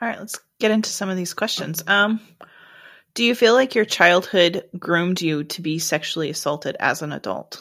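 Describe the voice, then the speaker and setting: On a very clean recording with total silence behind her, a woman of medium pitch uses an unremarkable speaking voice, moving at a moderate speed with ordinary shifts in pitch. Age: 30s. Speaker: podcast host. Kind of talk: interview.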